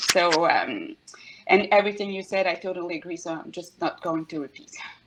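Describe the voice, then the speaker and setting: A woman with a French accent speaks at a fairly low pitch, her intonation fairly even. Her loudness swings widely over noticeable background noise. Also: fairly quick pace. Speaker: HR executive at game studio. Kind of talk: panel discussion. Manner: halting, many hesitations.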